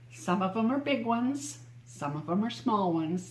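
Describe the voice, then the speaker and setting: Over audible room echo, a woman with a fairly low pitch speaks at a fairly slow pace, her pitch swinging very widely. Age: 70s. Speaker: interviewee. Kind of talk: interview.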